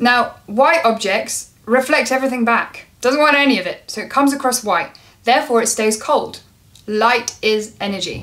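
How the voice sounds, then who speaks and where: With a high pitch and ordinary pitch variation, the woman speaks at a moderate pace. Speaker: lighting designer vlogger. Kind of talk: casual explainer vlog. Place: home room.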